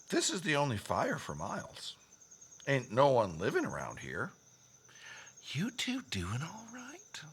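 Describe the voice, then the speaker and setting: In a put-on character voice with a Western US accent, the speaker drawls at a fairly slow pace in a low-to-middle pitch, with long, frequent pauses. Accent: Old West drawl. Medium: audio drama. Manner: folksy, drawling.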